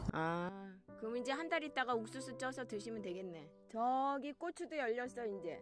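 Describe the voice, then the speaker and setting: Over clear background music, a woman with a fairly high pitch talks at a moderate pace, her voice making very wide pitch swings in a dry sound with no echo. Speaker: family member filming grandmother. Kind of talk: casual conversation. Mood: warm, chatty. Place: farm machine. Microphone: phone near.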